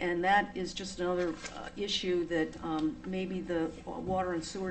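A woman speaks at a moderate pace with a fairly low pitch and fairly even intonation, in an American accent, and the room echo is audible. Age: 70s. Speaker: resident speaking at town meeting. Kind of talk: public comment at town meeting. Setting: town board meeting. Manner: halting, many fillers.

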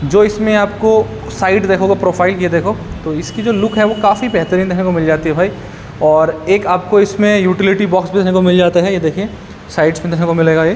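Amid light background noise, a man with a high pitch talks at a moderate pace with fairly even intonation. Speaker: showroom bike reviewer. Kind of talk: product walkaround commentary. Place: shop. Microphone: phone near.

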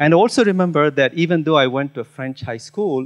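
With ordinary pitch variation and a moderate pace, a man talks while the background stays quiet. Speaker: keynote speaker. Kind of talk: conference talk. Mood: personal storytelling, engaged. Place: hall. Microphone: handheld.

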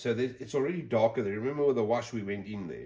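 A man's somewhat breathy voice, dark and mellow in tone, over a quiet background. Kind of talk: tutorial. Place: workshop. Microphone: phone near.

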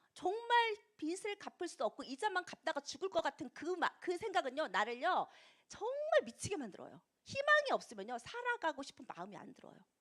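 A woman speaks at a moderate pace in an extremely high pitch, her tone animated and her pitch swinging very widely. Her loudness rises and falls sharply, and the sound is dry and close with no echo. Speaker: network marketing distributor. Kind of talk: motivational talk.

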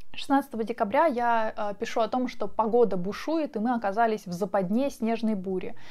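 A woman with a calm, relaxed tone at a fairly high pitch and moderate pace, ordinary pitch variation, quiet background. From Siberia, Russia. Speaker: vlogger. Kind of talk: diary reading commentary. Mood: calm, reflective storytelling. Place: home room. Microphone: lapel.

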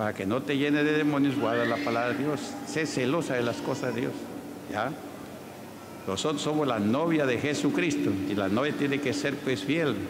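Noticeable background noise under speech of moderate pace. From Peru. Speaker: pastor. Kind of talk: church healing testimonies. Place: church. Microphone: handheld.

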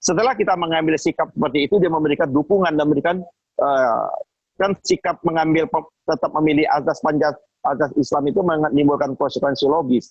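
A man at a fairly high pitch with ordinary pitch variation, talking very fast with very even loudness, in a dry sound with no echo and a quiet background. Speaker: Islamic organization activist. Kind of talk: panel discussion. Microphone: video call.

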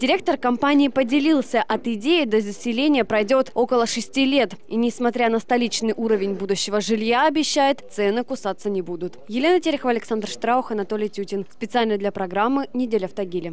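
Fairly quick and with hardly any pauses, a woman talks at a fairly high pitch with ordinary pitch variation in a plain, everyday voice, the sound dry with no echo. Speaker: TV news reporter. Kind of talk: scripted narration.

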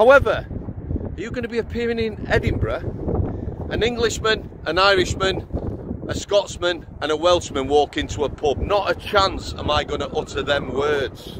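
A man's high-pitched voice with a Yorkshire accent, at a moderate pace, dry with no echo, over noticeable background noise. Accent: Sheffield Yorkshire English. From Yorkshire, Sheffield. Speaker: former prison officer, YouTuber; vlogger. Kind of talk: opinion monologue. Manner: animated. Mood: indignant, sarcastic. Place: open country. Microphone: lapel.

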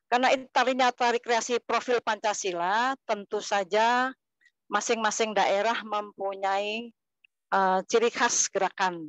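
In a plain, everyday voice, the speaker goes at a fairly slow pace with very even loudness and fairly even intonation, the sound dry with no echo against a quiet background. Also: woman, fairly high pitch for a woman. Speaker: kindergarten teacher and dancer; kindergarten teacher. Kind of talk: online presentation. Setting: video call. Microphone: lapel.

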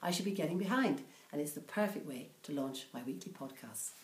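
Audible room echo around a woman at a fairly quick pace. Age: 60s. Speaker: comic-book review podcaster. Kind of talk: casual talk to camera. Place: home room. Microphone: webcam.

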